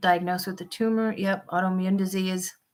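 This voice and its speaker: The speaker has an American accent and keeps a moderate pace. The intonation stays fairly even. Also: woman. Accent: Minnesota accent, noticed by viewers. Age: 50s. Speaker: van life vlogger. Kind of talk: live stream chat with viewers. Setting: live stream.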